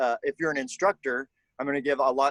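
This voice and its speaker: A man at a medium pitch, recorded with a dry, close sound and no echo. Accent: Southern US. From Kentucky, US South. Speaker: color guard instructor. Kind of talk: online workshop. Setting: video call from backyard.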